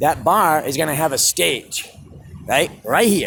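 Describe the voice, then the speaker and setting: A man with a fairly high voice and vocal fry speaks at a fairly slow pace. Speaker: street musician. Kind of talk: vlog rant. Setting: outdoors. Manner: loud; animated.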